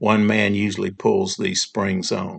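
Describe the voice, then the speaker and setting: Using vocal fry and lively intonation, a man speaks at a fairly low pitch and a fairly slow pace. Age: 60s. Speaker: upholsterer explaining furniture construction. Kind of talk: tutorial. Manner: casual with frequent fillers.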